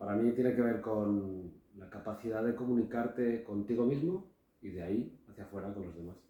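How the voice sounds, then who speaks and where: Dark and mellow, a man's voice sits at a medium pitch with ordinary pitch variation. He keeps a moderate pace. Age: 40s. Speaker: businessman, podcast guest. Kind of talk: casual podcast conversation.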